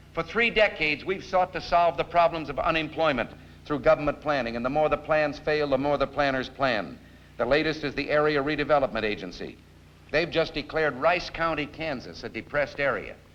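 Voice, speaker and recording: In an ordinary speaking voice, the speaker talks at a fairly quick pace with ordinary pitch variation. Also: man, fairly high pitch for a man. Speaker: political speaker giving a televised campaign address. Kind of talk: televised political speech.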